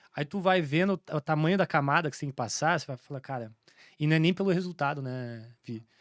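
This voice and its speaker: In a very clean recording with a silent background and a dry, close sound with no echo, a man with a fairly high voice talks at a very fast pace with ordinary pitch variation. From Santa Catarina interior, southern Brazil. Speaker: entrepreneur, franchise business owner. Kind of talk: podcast interview, casual. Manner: halting, many fillers and restarts.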